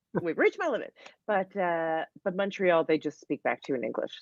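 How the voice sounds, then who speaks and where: Her voice is fairly low and she speaks at a very fast pace. The woman's sound is dry and close with no echo. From Canada, Calgary, Alberta. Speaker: comedian. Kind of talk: casual chat.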